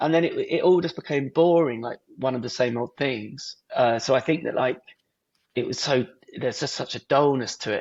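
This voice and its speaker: A man with an English accent, medium pitch, ordinary pitch variation and a moderate pace. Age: 30s. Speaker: artist and filmmaker. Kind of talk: podcast interview.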